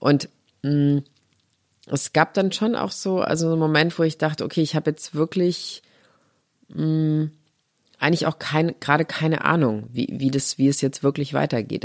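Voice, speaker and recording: In a very clean recording with a silent background, a woman speaks at a moderate pace with very deep, low pitch and ordinary pitch variation. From Saarland, Germany. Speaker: journalist and interviewer. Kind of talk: casual interview conversation.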